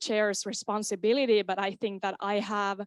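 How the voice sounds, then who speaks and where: Recorded very cleanly against a silent background, a woman with a Finnish accent sounds dry and close, with no echo. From Finland, Kainuu. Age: 20s. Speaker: student board candidate. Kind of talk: candidate speech at meeting. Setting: student association meeting.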